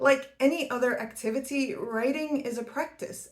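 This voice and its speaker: A woman talks with a non-native accent. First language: not English. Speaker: academic YouTuber, PhD researcher. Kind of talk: scripted educational talk. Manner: formal.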